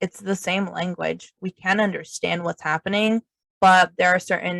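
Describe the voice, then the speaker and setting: In a dry, close sound with no echo, a woman with an American accent and a normal speaking voice talks at a moderate pace with fairly even intonation. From New Jersey. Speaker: podcast co-host. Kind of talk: casual chat.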